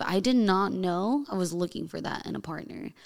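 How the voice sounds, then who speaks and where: An ordinary speaking voice from a woman with an American accent, medium in pitch and fairly slow in pace. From US, Colombian and Mexican heritage. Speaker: fitness trainer and bodybuilding competitor. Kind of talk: casual chat.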